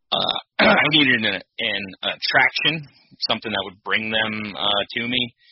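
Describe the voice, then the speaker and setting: A man is speaking. His pace is fairly slow. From northeastern Pennsylvania. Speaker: hunter and small-property habitat manager. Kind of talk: podcast interview. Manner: halting, many fillers.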